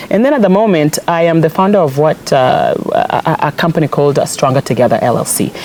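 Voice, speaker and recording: With a Kenyan accent, a woman talks very fast with hardly any pauses, using a fairly low pitch, lively intonation and very even loudness over noticeable background noise. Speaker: politician. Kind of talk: interview. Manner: animated.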